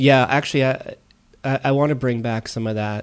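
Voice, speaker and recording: A man speaks with an American accent at a medium pitch. His intonation stays fairly even. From US East Coast, Maryland. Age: 40s. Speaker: painter, techno DJ and art professor. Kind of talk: casual interview. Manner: hesitant, many fillers.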